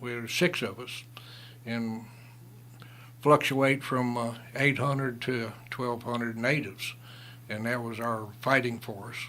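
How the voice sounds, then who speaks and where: With an American accent, a man speaks at a medium pitch in a bright, sharp, monotone, flat voice, going at a fairly slow pace with long, frequent pauses and big swings in loudness. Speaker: retired lawman and Vietnam veteran. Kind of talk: radio interview storytelling. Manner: halting, many fillers.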